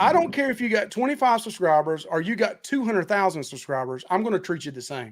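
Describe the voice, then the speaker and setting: A high-pitched man rattles along at a very fast pace with hardly any pauses, his pitch swinging very widely. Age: 50s. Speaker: cruise vlogger and barbecue content creator. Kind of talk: casual chat.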